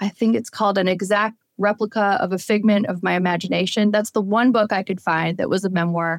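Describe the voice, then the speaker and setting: An unremarkable speaking voice, a woman talks at a medium pitch and a fairly quick pace with fairly even intonation in a dry, close sound with no echo. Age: 40s. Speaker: author. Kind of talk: interview.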